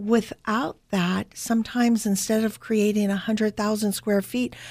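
On a very clean recording with a silent background, a woman with a Californian accent speaks at a moderate pace. Her voice is fairly high-pitched, and her intonation stays fairly even. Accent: Californian American. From Northern California. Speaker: marketing expert. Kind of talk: interview.

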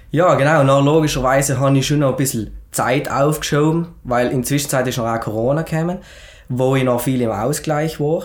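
A man talks at a fairly quick pace with fairly even intonation. There is audible room echo. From South Tyrol, Schnals valley. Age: 20s. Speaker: entrepreneur and fitness author. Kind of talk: podcast interview, personal story. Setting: studio, sitting together in person.

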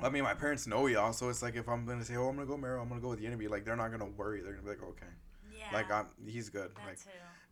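A man speaks very fast with vocal fry. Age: 20s. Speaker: podcast co-host. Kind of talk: casual chat.

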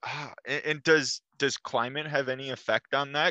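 A man with an American accent speaks in a bright, sharp tone, the sound dry and close with no echo over a quiet background. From Minnesota. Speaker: podcaster. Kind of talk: casual chat. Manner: halting.

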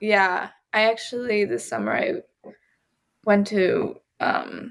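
A woman with an American accent at a very slow pace, with long, frequent pauses. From US South, Georgia. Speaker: violinist. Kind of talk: casual chat.

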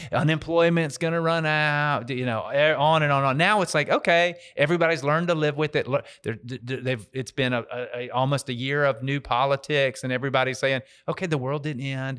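In an ordinary speaking voice, a man talks at a fairly high pitch and a fairly quick pace, with fairly even intonation. The recording is very clean, with a silent background. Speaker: real estate investor and banker. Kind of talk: casual chat.

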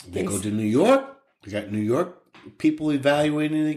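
With an unremarkable speaking voice, a man talks at a moderate pace in a fairly high pitch. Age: 60s. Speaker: podcast co-host, dad. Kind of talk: casual chat.

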